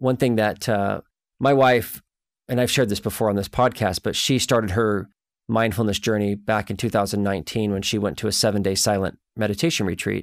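Recorded very cleanly against a silent background, a man with an unremarkable speaking voice talks at a fairly quick pace. His pitch sits fairly low and his intonation stays fairly even. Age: 40s. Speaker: podcast host, marriage and family therapist. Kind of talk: casual interview chat; scripted intro.

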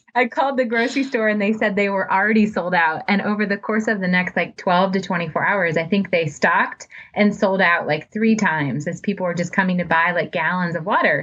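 Speaking at a fairly quick pace with hardly any pauses, a woman with an American accent uses a medium pitch and ordinary pitch variation over noticeable background noise. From US Midwest (suburban Ohio). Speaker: nonprofit public relations director. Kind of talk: interview conversation.

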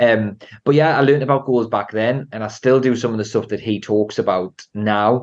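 A man in a Geordie accent at a moderate pace. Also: medium pitch for a man, fairly even intonation. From Newcastle, northern England. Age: 30s. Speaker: entrepreneur and property investor. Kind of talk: casual interview.

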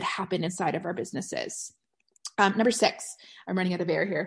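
The voice is somewhat breathy and animated in tone, set against a quiet background. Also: woman. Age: 40s. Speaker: podcast host and network marketing coach. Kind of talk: casual solo podcast monologue.

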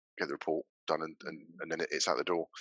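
The speaker has a Norfolk accent. The pace is fairly quick. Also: man. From Norfolk, England. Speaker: building surveyor and business owner. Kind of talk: casual interview chat.

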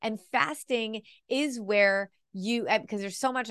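Against a quiet background, a woman with an ordinary speaking voice talks at a fairly high pitch with ordinary pitch variation, and the sound is dry and close with no echo. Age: 40s. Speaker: nutrition coach and podcast host. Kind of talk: solo podcast talk. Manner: casual, conversational.

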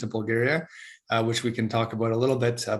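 The voice is somewhat breathy and very fast. Its intonation stays fairly even. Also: man. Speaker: podcast host. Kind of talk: casual interview conversation. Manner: hesitant, many fillers.

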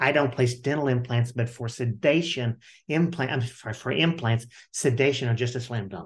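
This man's voice is somewhat breathy and medium in pitch, with ordinary variation, and he keeps a moderate pace. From Kentucky. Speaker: dentist and educator. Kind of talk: interview.

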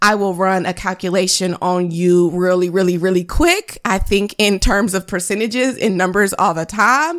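On a very clean recording with a silent background, a woman speaks in an animated tone at a moderate pace and medium pitch. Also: hardly any pauses. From US, moved around; born in North Carolina. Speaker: photographer and business coach, podcast host. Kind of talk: solo podcast monologue.

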